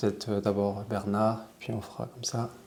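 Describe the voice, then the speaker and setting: A man talks at a fairly slow pace while noticeable background noise fills the recording. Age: 20s. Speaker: podcast host. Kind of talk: podcast interview.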